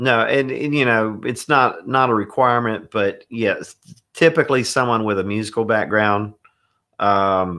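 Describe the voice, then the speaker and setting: A man with a Southern US accent talks at a moderate pace in a medium pitch, his tone bright and sharp. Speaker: church audio and production consultant. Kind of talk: webinar discussion. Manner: casual.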